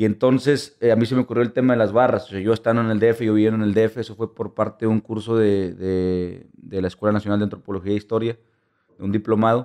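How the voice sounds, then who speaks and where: Against a quiet background, a man speaks very fast in a dark, mellow tone with monotone, flat intonation. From Monterrey, Mexico; Mexico. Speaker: photojournalist and documentary filmmaker; photojournalist. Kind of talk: interview. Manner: halting. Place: studio. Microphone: studio mic.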